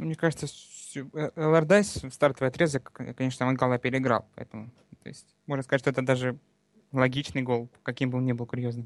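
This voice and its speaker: A man talks at a fairly quick pace with long, frequent pauses and ordinary pitch variation, his voice sounding dry and close with no echo. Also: medium pitch for a man. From Donbas, Luhansk region. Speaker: fan and expert commentator.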